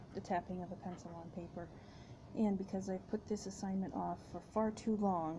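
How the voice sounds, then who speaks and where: At a moderate pace, a woman speaks in a dark, mellow, somewhat breathy tone, medium in pitch and monotone, with flat intonation. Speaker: graduate student. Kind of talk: casual talk to camera. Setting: workplace with fan noise. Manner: soft-spoken, rambling.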